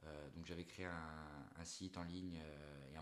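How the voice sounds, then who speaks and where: A man with a very deep, low pitch and a Corsican accent. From Corsica (Ajaccio). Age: 20s. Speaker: entrepreneur, agency owner. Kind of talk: interview. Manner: hesitant, many fillers.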